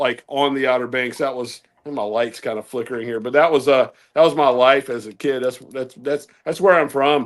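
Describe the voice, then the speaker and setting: A man speaks in a Southern US accent at medium pitch with ordinary pitch variation. His pace is moderate, and the recording is very clean with a silent background. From Southeastern Virginia. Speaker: ham radio host. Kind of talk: casual chat.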